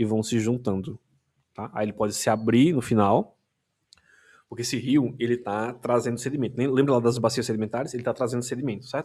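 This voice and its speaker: Speaking at a moderate speed, a man's medium-pitched voice carries a dark, mellow tone. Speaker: teacher. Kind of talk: lecture. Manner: halting.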